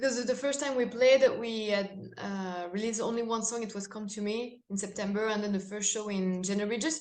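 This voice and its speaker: The speaker is a woman with a fairly high pitch. She talks with hardly any pauses. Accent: French. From France. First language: French. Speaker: metal band singer. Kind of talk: interview. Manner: halting.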